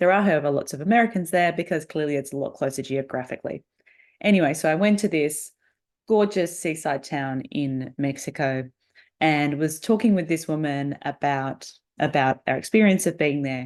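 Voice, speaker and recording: A woman with an Australian accent, very deep and low in pitch, at a moderate pace with ordinary pitch variation against a quiet background. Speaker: podcast host, negotiation coach. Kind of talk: solo podcast monologue.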